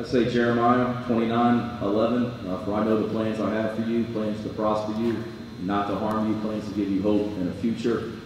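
Strong room echo and light background noise accompany speech at a moderate pace. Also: man. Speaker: football coach. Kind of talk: panel discussion. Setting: stage with audience. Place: hall.

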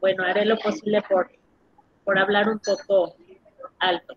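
The sound is dry and close with no echo. A woman speaks at a moderate pace with a medium pitch and a slightly husky edge.

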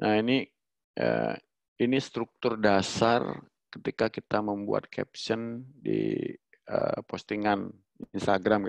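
Very slow speech with long, frequent pauses, a quiet background and dry sound with no echo. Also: man. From Bali. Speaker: webinar presenter. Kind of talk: online workshop presentation. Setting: video call. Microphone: headset.

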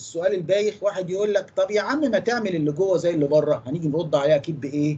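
A man talks at a fairly quick pace in a high voice. His intonation is lively. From Egypt. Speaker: engineering lecturer. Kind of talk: lecture. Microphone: video call.

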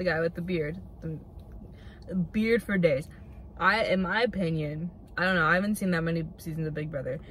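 A woman speaks at a moderate pace in a fairly low pitch, somewhat breathy, with fairly even intonation. The sound is dry with no echo, and there is light background noise. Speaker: vlogger. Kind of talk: casual vlog chat. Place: car. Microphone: phone near.

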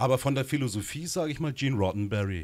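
A man at a medium pitch, talking at a very fast pace with lively intonation. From Baden, southwest Germany (Gernsbach); Baden, Germany. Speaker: film director and screenwriter; interview guest. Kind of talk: interview. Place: studio. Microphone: handheld.

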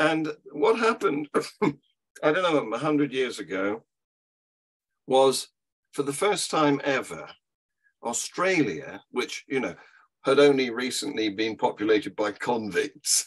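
Against a quiet background, a man with an English accent and a fairly high pitch speaks at a fairly slow pace, using lively intonation and long, frequent pauses. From England. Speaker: atheist activist; podcast guest or co-host. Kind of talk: casual chat. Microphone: video call.

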